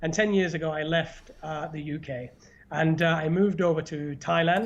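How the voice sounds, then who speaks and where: A man with a northern English accent speaks at a moderate pace in a fairly high voice. His intonation is fairly even, against a quiet background. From northern England. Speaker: YouTuber and podcast host. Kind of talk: casual chat. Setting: live stream.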